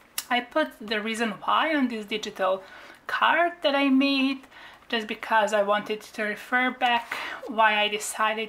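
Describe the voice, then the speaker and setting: A woman with a non-native accent and fairly high pitch, at a fairly slow pace. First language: not English. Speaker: craft YouTuber. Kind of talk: craft flip-through tutorial. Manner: halting, with fillers.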